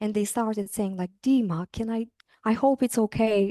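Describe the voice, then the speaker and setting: A woman with a non-native accent speaks at a moderate pace in a fairly high, dark and mellow voice with ordinary pitch variation. The sound is dry and close with no echo, over a quiet background. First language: not English. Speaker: university lecturer. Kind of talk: interview. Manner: hesitant, many fillers.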